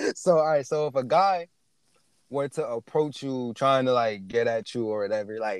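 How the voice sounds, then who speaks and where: Speaking at a moderate pace with an American accent, a man with a medium pitch is heard in a dry, close recording with no echo. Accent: Americanized, urban American. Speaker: podcast host. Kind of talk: casual chat.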